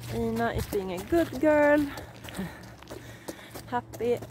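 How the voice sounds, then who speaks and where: A woman speaks in a Swedish accent. The sound is dry with no echo, and background noise is noticeable. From Sweden. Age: 30s. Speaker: riding instructor. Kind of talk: casual vlog talk to camera. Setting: outdoors. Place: open country. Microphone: phone near.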